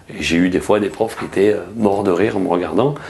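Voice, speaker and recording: A man's fairly low, fairly quick voice with fairly even intonation, amid noticeable background noise. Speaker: journalist. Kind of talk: interview. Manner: hesitant, many fillers and restarts.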